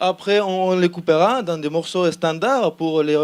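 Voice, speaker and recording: The man speaks at a high pitch. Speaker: student team member pitching a project. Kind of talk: project pitch presentation. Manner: halting, many repetitions and hesitations.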